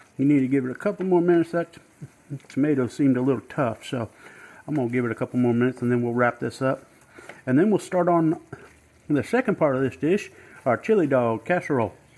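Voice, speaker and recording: With a Southern US accent, a man speaks at a very fast pace and medium pitch. His intonation is lively, broken by long, frequent pauses. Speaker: home cook, author. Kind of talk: cooking demonstration. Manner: casual, friendly.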